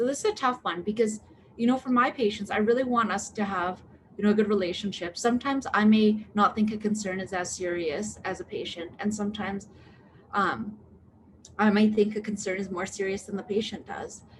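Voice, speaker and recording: This woman's voice sits at a medium pitch and is somewhat breathy. Her intonation stays fairly even. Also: fairly quick pace. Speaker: medical doctor. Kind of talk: live Q&A. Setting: live online video stream. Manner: fast; hesitant, many fillers.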